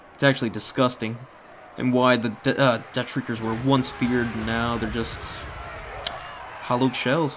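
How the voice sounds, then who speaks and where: A man at a medium pitch, with long, frequent pauses and noticeable background noise. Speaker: gaming commentator. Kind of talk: replay commentary. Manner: fast; animated.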